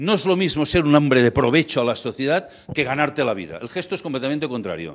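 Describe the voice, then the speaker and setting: In a very clean recording with a silent background, a man with a fairly high pitch and vocal fry talks at a very fast pace. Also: lively intonation. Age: 60s. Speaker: lecturer on ethical banking. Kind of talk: lecture. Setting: stage with audience.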